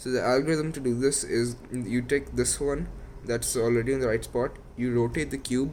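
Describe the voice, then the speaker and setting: At a moderate pace, a man of medium pitch speaks in a monotone, flat intonation. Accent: non-native. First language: not English. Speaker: YouTuber teaching Rubik's cube. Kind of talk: tutorial.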